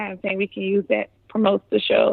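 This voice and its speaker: The speaker is a woman. She talks in a New Orleans accent. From New Orleans, Louisiana. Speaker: video producer. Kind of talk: casual interview.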